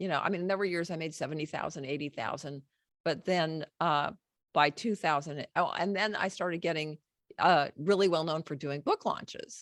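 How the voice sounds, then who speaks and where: Recorded very cleanly against a silent background, the sound is dry and close with no echo. A woman speaks in a plain, everyday voice at a fairly low pitch and moderate pace, with ordinary pitch variation. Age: 60s. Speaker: book publishing coach and former songwriter. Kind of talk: podcast interview.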